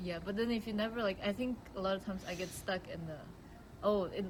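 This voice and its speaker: At a fairly quick pace, a woman speaks in a plain, everyday voice at a medium pitch with ordinary pitch variation. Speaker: filmmaker. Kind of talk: casual interview.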